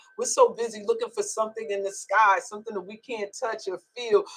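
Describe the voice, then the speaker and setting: A woman talks fairly quickly in a New York accent. Her pitch is fairly high, with ordinary variation. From New York (Long Island). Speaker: spiritual storyteller, livestreamer. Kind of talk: casual livestream talk. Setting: live stream. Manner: animated.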